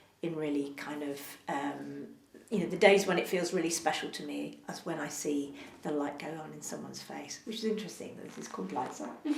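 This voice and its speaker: A woman at a fairly quick pace, her loudness swinging widely, with audible room echo and noticeable background noise. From London (Hounslow, Middlesex). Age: 60s. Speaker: actor and theatre director. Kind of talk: interview. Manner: hesitant, many fillers.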